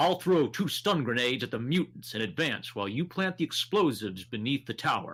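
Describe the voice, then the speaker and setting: A man puts on a gruff character voice at a medium pitch, with very wide pitch swings. He talks at a fairly quick pace with hardly any pauses. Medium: read story. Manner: gruff, clipped.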